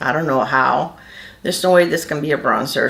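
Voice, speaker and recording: Audible room echo colors the recording. A woman talks with lively intonation. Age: 60s. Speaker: beauty vlogger. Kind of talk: makeup tutorial. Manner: casual, with many fillers.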